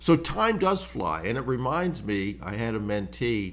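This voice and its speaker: Very slowly, a man talks in a fairly low pitch that swings very widely. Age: 70s. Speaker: business acquisition mentor, podcast host. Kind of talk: solo podcast monologue. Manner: casual, conversational with fillers.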